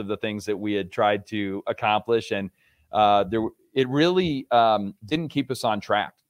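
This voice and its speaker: Here a man speaks with an American accent. He has a normal speaking voice. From New York State, Rochester. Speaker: author and motivational speaker. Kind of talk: interview, motivational talk.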